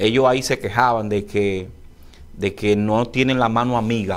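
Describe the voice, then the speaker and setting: A man speaks at a moderate pace and medium pitch. He has a normal speaking voice. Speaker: political interview host. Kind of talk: interview.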